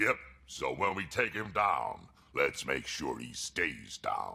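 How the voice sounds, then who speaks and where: Raspy and fairly slow, the delivery is a put-on character voice. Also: man. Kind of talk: tough soldier talk. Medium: video game. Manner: gruff, blunt.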